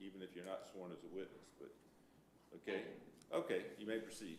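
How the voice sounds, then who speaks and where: Fairly quick male speech in a room with audible echo. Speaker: special magistrate presiding over code hearings. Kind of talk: formal hearing proceedings. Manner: loud.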